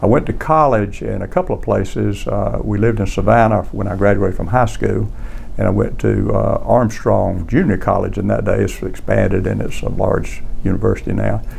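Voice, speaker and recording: With a Southern US accent, a man speaks at a fairly quick pace amid audible room echo and noticeable background noise. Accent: Southern US (Georgia). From US South, South Georgia. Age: 70s. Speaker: community elder. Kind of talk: oral history interview. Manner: halting, many fillers.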